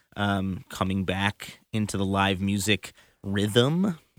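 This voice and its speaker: A man speaks in an unremarkable speaking voice, pitched fairly low, with fairly even intonation. The sound is dry and close with no echo. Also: very clean recording, silent background. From US Midwest, Chicago. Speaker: musician and band leader. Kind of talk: casual interview.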